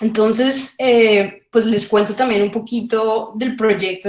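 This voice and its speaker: A woman is speaking. Her pace is fairly slow. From Colombia. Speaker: philosophy of economics researcher. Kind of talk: academic lecture. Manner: halting, many fillers.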